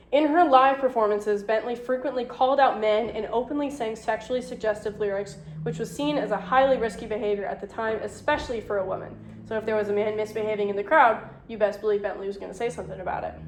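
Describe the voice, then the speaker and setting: At a very fast pace, a woman with a fairly high pitch and ordinary pitch variation speaks amid audible room echo and noticeable background noise. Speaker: lecturer. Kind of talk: lecture.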